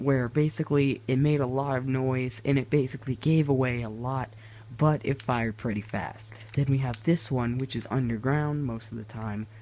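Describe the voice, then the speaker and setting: A man speaks quietly at a moderate pace, his medium-pitched voice dark and mellow in tone with fairly even intonation. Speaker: gaming YouTuber. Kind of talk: gameplay tutorial. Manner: quieter, hushed; hesitant, many fillers.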